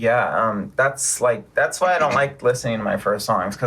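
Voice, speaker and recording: A man with an American accent speaks loudly at a fairly quick pace. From US West Coast, San Diego. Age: 30s. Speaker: rapper. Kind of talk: casual chat.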